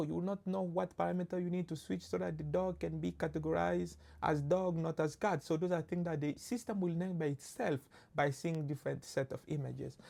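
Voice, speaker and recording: At a moderate pace, a woman with a French accent talks in a fairly low pitch. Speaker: machine learning instructor. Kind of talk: lecture. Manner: halting, with many fillers.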